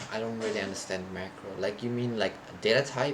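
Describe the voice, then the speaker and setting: Noticeable background noise surrounds a man's voice. His pitch is medium, and the room echo is audible. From Thailand. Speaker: programming streamer. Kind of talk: live coding stream.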